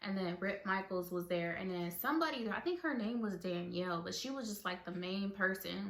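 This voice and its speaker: Here a woman speaks at a moderate pace with a medium pitch. Audible room echo surrounds her voice. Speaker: vlogger. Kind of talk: casual storytelling vlog. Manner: mumbling; filler-heavy.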